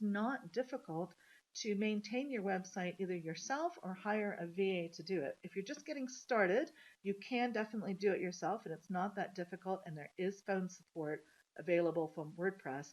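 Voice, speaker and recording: A woman at medium pitch, using an ordinary speaking voice, keeps a moderate pace with lively intonation. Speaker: marketing coach. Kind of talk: webinar presentation.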